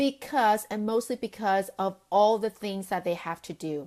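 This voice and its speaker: A woman speaks at a moderate pace. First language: not English. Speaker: sales coach and business founder. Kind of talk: live video talk to camera. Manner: casual with many fillers.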